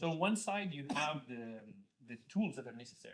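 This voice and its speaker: A man speaks with a Spanish accent. His pace is fairly quick and his intonation lively. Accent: Spanish accent, noticeable. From Spain. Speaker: venture investor. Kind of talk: panel discussion. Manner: halting, many fillers and repeated words.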